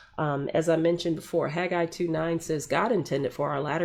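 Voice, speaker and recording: On a very clean recording with a silent background, a woman talks at a moderate pace in a fairly low pitch. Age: 50s. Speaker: faith-based menopause podcast host. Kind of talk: live podcast talk. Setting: livestream broadcast. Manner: hesitant, many fillers.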